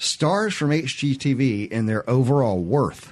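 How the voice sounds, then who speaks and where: Lively intonation marks this man's speech in a Southern US accent. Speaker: radio host. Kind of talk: call-in radio show. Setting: studio.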